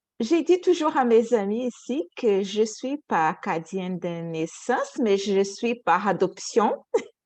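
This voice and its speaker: A woman speaks at a very slow pace with a Portuguese accent and hardly any pauses. Her fairly high pitch swings very widely over a quiet background. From Brazil, Rio de Janeiro. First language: Portuguese (speaking French). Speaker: panelist, cultural organization worker. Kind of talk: panel discussion testimony.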